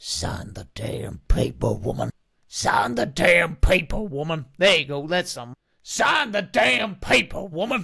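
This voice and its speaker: A man puts on a raspy character voice with a Western US accent, pitched fairly high. He speaks at a fairly slow pace. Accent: Western twang. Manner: angry, menacing.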